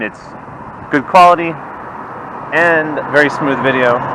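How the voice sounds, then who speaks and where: Noticeable background noise plays behind a man who is talking. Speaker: product reviewer. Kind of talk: product test vlog. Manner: loud. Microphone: built-in action camera mic, distorts when loud.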